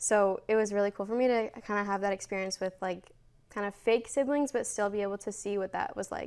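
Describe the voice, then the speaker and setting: A woman with an American accent, medium pitch, a fairly quick pace, fairly even intonation and a plain, everyday voice. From United States. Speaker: university student, former teaching intern. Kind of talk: interview. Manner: casual, filler-heavy.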